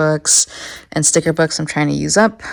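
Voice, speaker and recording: A speaker with an American accent talks at a moderate pace. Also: woman. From San Diego, California. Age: 20s. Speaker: biologist. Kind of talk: casual studio tour talk.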